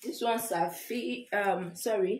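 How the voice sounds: A woman's medium-pitched voice at a very slow pace, with ordinary pitch variation and audible room echo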